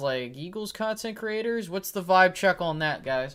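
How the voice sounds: A man with a high pitch and a fairly bright tone speaks with lively intonation. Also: moderate pace.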